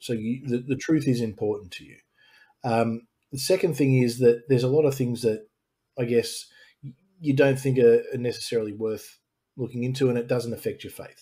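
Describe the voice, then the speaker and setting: At a fairly quick pace, a man with an Australian accent speaks at a medium pitch in a dark, mellow, somewhat breathy tone, with ordinary pitch variation and big swings in loudness. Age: 40s. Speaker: YouTube channel host, former ministry student. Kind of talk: interview subject in live-stream conversation. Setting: live stream video call.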